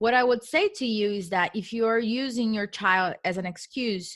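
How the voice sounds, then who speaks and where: A woman speaks with a Portuguese accent at a fairly high pitch. The recording is very clean, with a silent background. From Brazil. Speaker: real estate investor. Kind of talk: interview. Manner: emphatic.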